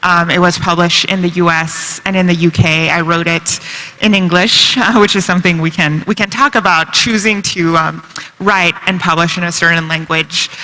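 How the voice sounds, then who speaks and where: A woman speaks at a moderate pace with a fairly low pitch and fairly even intonation. Noticeable background noise runs underneath. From China. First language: Chinese and French. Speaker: novelist. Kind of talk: panel discussion.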